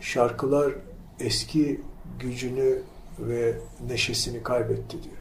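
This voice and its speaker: A man talks at a very slow pace. There is audible echo in the room. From Turkey, İzmir (Karşıyaka). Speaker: academic. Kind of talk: casual chat. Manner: halting.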